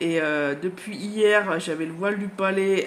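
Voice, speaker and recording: There is noticeable background noise behind this woman's voice. She speaks at a very slow pace with a medium pitch and ordinary pitch variation. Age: 40s. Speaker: book vlogger. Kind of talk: casual vlog chat. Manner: hesitant, many fillers.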